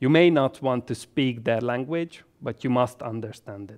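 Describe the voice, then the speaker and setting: A man with a Hungarian accent at a fairly slow pace, in a dry, close sound with no echo. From Hungary, Budapest. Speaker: health economist and medical doctor. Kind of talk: educational presentation. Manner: formal.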